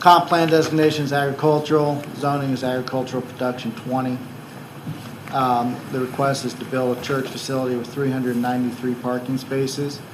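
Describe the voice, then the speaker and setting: A man speaks at medium pitch and a fairly quick pace, in monotone, flat intonation. Noticeable background noise and audible room echo fill the recording. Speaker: county planning staff. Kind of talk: staff report presentation at public hearing. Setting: county commission meeting chamber. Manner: soft-spoken; hesitant, many ums. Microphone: too quiet, hard to hear.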